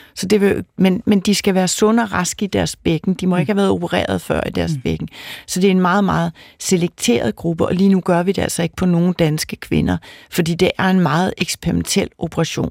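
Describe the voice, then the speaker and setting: A woman speaks at a fairly quick pace. The recording is very clean with a silent background and a dry, close sound with no echo. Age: 50s. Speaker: fertility doctor and professor. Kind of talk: expert interview.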